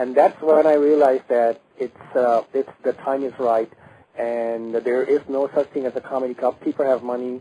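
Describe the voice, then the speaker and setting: A man with a Bengali accent speaks with flat, monotone intonation. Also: medium pitch for a man, moderate pace, dry, close sound with no echo. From Bangladesh. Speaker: stand-up comedian. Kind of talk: radio interview. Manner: halting, many fillers and restarts.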